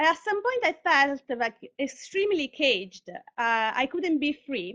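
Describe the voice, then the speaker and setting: A woman with an Italian accent and lively intonation, recorded with a dry, close sound and no echo. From Italy, Sicily (Catania). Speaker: artist and tech worker, speaker. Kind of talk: conference talk; reading aloud. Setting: live online broadcast.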